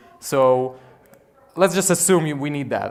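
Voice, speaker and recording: A man's fairly high-pitched voice in a very clean recording with a silent background. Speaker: game designer giving a conference talk. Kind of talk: conference talk. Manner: fast.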